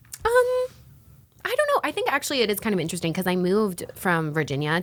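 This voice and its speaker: Talking at a very fast pace with lively intonation, a woman is heard over noticeable background noise. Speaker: YouTuber. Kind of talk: casual chat.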